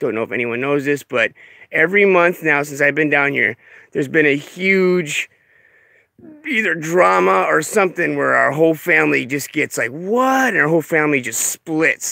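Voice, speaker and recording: A man's fairly high voice with a bright, sharp tone, lively intonation and a moderate pace. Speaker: off-grid vlogger. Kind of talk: casual vlog talk to camera. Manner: animated, many fillers.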